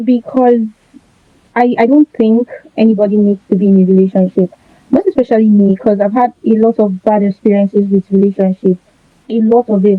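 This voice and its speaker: A woman uses an unremarkable speaking voice at a fairly high pitch and fairly quick pace. Her intonation is fairly even, and her loudness stays very even. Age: 20s. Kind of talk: interview answer.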